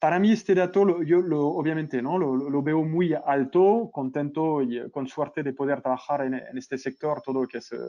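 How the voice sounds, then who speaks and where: Over a quiet background, a man with a French accent speaks in a dark, mellow tone, his pitch fairly high with ordinary variation. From France. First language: French (speaking Spanish). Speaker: e-commerce consultant. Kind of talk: webinar interview. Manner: halting with fillers.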